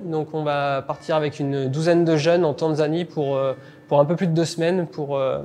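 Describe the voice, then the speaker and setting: Against noticeable background noise, a man speaks fairly quickly at a fairly high pitch. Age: 30s. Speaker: vocational teacher, baker by training. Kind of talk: interview testimony. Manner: halting, frequent hesitations.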